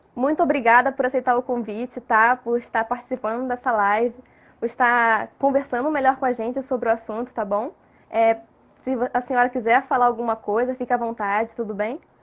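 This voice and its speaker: A woman speaks at a fairly quick pace in a high voice. Her intonation stays flat and monotone. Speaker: nursing professor, live stream moderator. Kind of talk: live stream talk.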